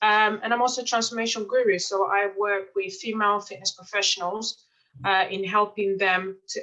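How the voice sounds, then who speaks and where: Fairly even intonation carries a tone that is bright and sharp. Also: woman. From Mozambique and Portugal, UK from age 10. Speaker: life coach and author. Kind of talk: testimonial interview.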